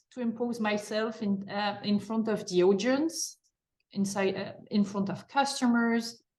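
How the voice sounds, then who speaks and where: A woman takes a fairly slow pace, her voice somewhat breathy. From France. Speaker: marketing executive and mentorship program leader. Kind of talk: interview. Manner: hesitant, many fillers.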